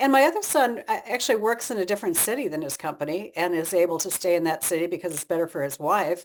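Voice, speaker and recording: This woman talks at a very fast pace with hardly any pauses. Her fairly low pitch carries lively intonation, on a very clean recording with a silent background. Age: 70s. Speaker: author. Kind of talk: interview.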